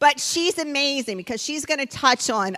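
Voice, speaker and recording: A woman speaks in a raised, projected voice with a high pitch and very wide pitch swings. Her tone is bright and sharp, and the sound is dry and close with no echo. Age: 60s. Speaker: event host and co-founder. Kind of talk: event introduction speech. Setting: stage with audience.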